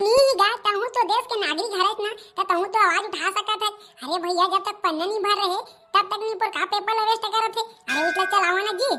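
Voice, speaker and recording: A cartoonish character voice races along at a very fast pace. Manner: grumbling, cheeky.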